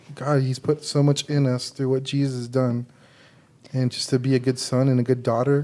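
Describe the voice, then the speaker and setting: A man's dark, mellow voice at a medium pitch, moderate in pace and flat in a monotone. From San Antonio, Texas (west side). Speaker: ministry associate, healing minister. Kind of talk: interview about faith story. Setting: studio.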